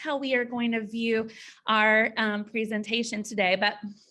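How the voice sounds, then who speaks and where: A woman with a slight Southern US accent and a bright, sharp tone, at a moderate pace. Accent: slight Southern twang. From US South (Georgia, Tennessee). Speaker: school counselor and presenter. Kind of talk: training presentation. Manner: halting, many fillers.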